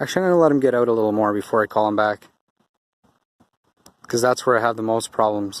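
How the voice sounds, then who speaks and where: A soft-spoken man's mumbling at a very fast pace, broken by long, frequent pauses. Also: medium pitch for a man, ordinary pitch variation, very even loudness. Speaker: dog owner and trainer vlogger. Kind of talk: casual vlog narration while training dogs. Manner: mumbling, soft and weak on camera.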